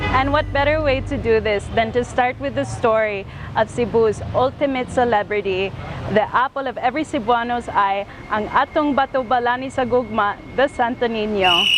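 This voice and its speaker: With an American accent, a woman speaks at a moderate pace in a high pitch with ordinary pitch variation, over noticeable background noise. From California, US. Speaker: vlog co-host. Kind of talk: travel vlog presenting.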